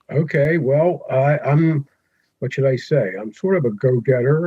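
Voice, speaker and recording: A man speaks at a fairly slow pace with a medium pitch. His voice is somewhat breathy, with ordinary pitch variation. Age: 70s. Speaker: retired educator and ham radio operator. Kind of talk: interview.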